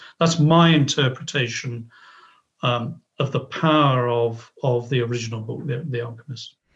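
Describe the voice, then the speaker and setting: At a moderate pace and medium pitch, a man speaks with a somewhat breathy voice and fairly even intonation. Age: 60s. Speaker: author. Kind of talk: interview. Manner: halting.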